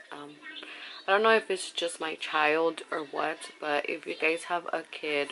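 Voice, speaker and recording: Light background noise sits behind a woman who speaks fairly slowly at a fairly low pitch with fairly even intonation. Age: 20s. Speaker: vlogger, young mother. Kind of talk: casual talk to camera. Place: home room. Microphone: phone near.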